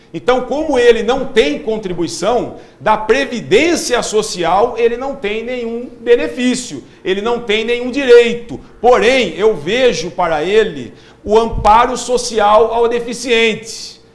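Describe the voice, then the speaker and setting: Over noticeable background noise and audible room echo, a man speaks at a very slow pace with an extremely high pitch and ordinary pitch variation. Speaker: social security advisor. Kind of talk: live TV Q&A.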